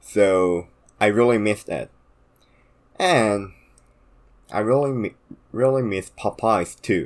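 A man's fairly low voice in a Korean accent, very slow with long, frequent pauses and ordinary pitch variation. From South Korea. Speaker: podcast co-host. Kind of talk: casual chat.

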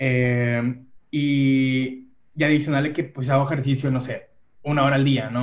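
Intonation stays fairly even. It is a normal speaking voice. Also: man. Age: 30s. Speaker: human resources worker. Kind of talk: casual chat.

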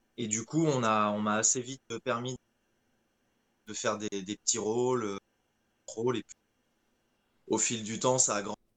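With long, frequent pauses and big swings in loudness, a man speaks fairly slowly at a medium pitch, the sound dry and close with no echo. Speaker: voice actor. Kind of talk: casual interview. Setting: video call over Discord.

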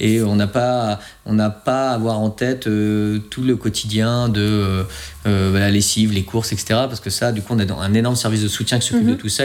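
The speaker is a man with a fairly low pitch. He talks in a monotone, flat way. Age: 30s. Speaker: air force fighter pilot. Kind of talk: interview.

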